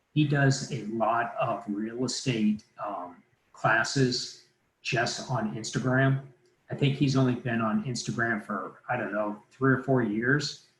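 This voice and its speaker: At a fairly slow pace, a man speaks at a medium pitch with ordinary pitch variation and a plain, everyday voice. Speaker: mortgage lender presenting a training. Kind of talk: live online training presentation. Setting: livestream webinar.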